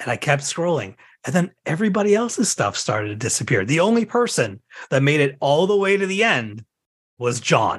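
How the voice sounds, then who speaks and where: A man with a fairly high pitch speaks in a somewhat breathy voice, his pitch swinging very widely. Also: fairly quick pace. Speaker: podcast host. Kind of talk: casual chat. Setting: home office.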